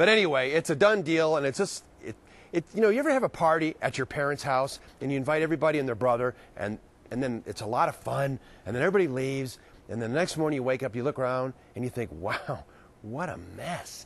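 The sound is dry with no echo. A man speaks at a very fast pace. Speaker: field reporter. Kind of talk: live news report. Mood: jokey, playful. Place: hall. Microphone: lapel.

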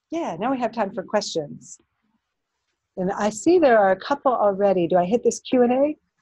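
Somewhat breathy and moderately paced, a woman's voice swings very widely in pitch, recorded dry and close with no echo over a quiet background. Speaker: professor of philosophy and politics. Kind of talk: lecture; audience Q&A. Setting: lecture room with audience; recorded talk.

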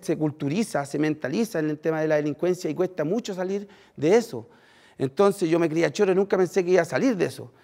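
With a Chilean accent, a man talks very fast in a high, dark and mellow voice, his pitch varying in an ordinary way against a quiet background. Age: 30s. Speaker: former prisoner turned social worker; speaker. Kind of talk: testimony. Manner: halting, many fillers. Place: stage. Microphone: headset.

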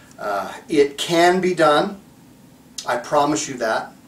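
Audible room echo surrounds a man's voice. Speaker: dog trainer. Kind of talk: instructional talk to camera.

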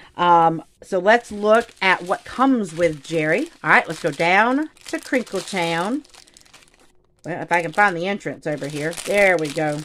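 A woman speaks in an animated tone, at a fairly slow pace. Her pitch is fairly low, over light background noise. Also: lively intonation. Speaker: craft YouTuber. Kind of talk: casual unboxing video. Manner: animated, excitable. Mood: excited, playful. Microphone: phone near.

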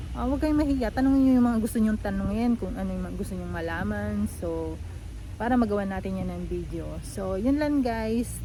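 Audible room echo surrounds this recording. A woman talks at a fairly quick pace. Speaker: vlogger. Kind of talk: casual vlog tutorial. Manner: animated.

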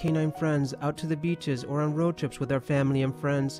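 Very fast speech over music in the background. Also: man. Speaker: media performance student. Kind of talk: public service announcement. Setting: studio.

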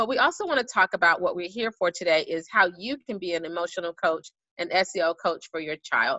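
A woman with an ordinary speaking voice and medium pitch talks with lively intonation and hardly any pauses. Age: adult parent. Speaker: school social emotional learning specialist. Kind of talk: online presentation for parents.

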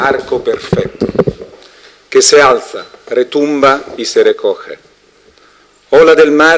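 With an Italian accent, a man talks at a very slow pace, leaving long, frequent pauses over light background noise. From Italy. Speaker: festival director. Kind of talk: poetry reading. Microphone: handheld.

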